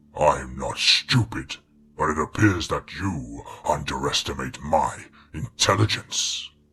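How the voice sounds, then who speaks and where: A man puts on a character voice that is raspy and gravelly, with a very deep, low pitch. He speaks at a fairly slow pace. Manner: condescending.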